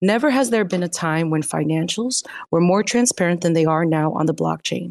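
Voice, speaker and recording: A plain, everyday voice from a woman, fairly low in pitch, at a moderate pace with lively intonation, in a dry, close sound with no echo over a quiet background. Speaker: podcast host. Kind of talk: news reading and casual chat.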